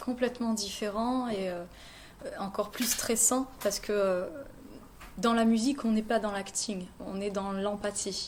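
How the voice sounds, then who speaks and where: A woman talks at a medium pitch with fairly even intonation. Her pace is fairly slow, broken by long, frequent pauses. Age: 30s. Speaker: singer. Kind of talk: interview. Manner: hesitant.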